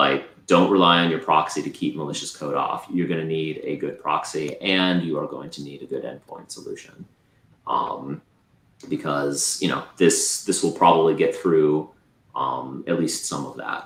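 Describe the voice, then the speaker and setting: Big swings in loudness mark a man's speech as he keeps to a moderate pace. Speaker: cybersecurity presenter. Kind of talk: Q&A after a tech presentation. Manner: halting, many fillers.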